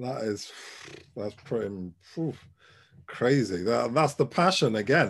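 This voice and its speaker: Using lively intonation at a medium pitch, a man speaks at a fairly slow pace with vocal fry and long, frequent pauses. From Ghana. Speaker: podcast host. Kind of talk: casual chat.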